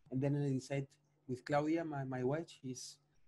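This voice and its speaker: Somewhat breathy and dark, mellow in tone, a man with a Spanish accent speaks at a moderate pace in a fairly high voice with fairly even intonation. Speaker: chef and social food entrepreneur. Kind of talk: podcast interview. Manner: halting, with many repetitions.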